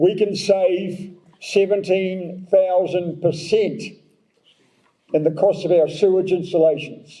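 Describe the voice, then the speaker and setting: A man's high, dark, mellow voice in a New Zealand accent, monotone and flat, at a very slow pace. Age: 70s. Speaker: mayoral candidate. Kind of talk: election candidate forum answer.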